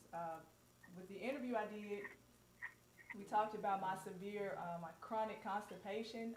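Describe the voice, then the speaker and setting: With a Southern US accent, a woman speaks at a medium pitch and with fairly even intonation, amid noticeable background noise and audible room echo. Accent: southern drawl. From US South, Mississippi. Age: 30s. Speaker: co-host, holistic skincare business owner. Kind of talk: personal testimony on live panel. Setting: live stream video call.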